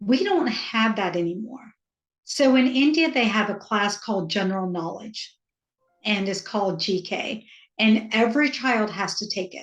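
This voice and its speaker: At a moderate pace, a woman talks in a fairly high, somewhat breathy voice with ordinary pitch variation. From US South, rural Georgia. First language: Hindi. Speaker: author and parent coach. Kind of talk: interview.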